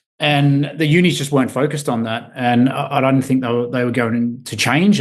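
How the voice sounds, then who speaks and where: A man talks at a moderate pace with an Australian accent. His intonation stays fairly even over a quiet background. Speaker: recruitment company CEO. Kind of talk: podcast interview. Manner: halting, many repeated words.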